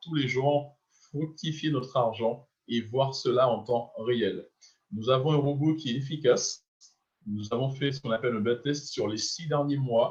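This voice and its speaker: A somewhat breathy man at medium pitch, fairly slow, with fairly even intonation. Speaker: business opportunity presenter. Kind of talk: sales pitch.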